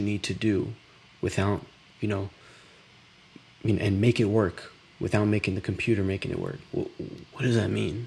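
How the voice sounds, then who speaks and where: Whispering and soft-spoken, a man speaks in a somewhat breathy voice broken by long, frequent pauses. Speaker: startup founder live streamer. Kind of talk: live stream reaction commentary. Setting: at home, late night. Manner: whispering, soft-spoken; casual, halting.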